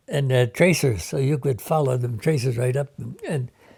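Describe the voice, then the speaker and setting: A somewhat breathy male voice, dark and mellow in tone, at medium pitch with ordinary pitch variation and a moderate pace. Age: 80s+. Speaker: war veteran. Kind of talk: oral history interview. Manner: halting.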